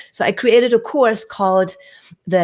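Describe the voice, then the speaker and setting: With a German accent, a woman speaks at a moderate pace with lively intonation. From Germany (Hamburg). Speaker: communication coach and actor. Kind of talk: casual interview. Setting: live stream.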